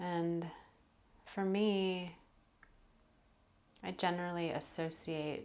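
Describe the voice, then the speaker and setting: A woman with a fairly low pitch and a gentle tone talks at a very slow pace with fairly even intonation. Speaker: yoga teacher and meditation guide. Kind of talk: guided meditation. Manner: gentle, slow, soft-spoken.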